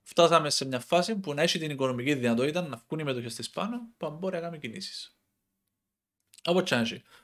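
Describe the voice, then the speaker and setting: A man speaks at a fairly quick pace with a Cypriot accent, his fairly high pitch moving in lively intonation. The background is quiet. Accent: Cypriot Greek. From Cyprus. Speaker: football commentator YouTuber. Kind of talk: casual monologue. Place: home room. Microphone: headset.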